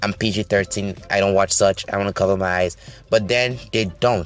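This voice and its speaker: Over music in the background, the speaker's tone is animated, with ordinary pitch variation. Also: man. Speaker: YouTube movie commentator. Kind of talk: movie review commentary. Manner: fast.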